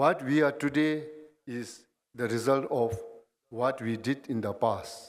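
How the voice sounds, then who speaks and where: Speaking with a Bhutanese accent, a man keeps a medium pitch with ordinary pitch variation. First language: Dzongkha. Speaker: guest speaker. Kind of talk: ceremonial speech. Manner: formal.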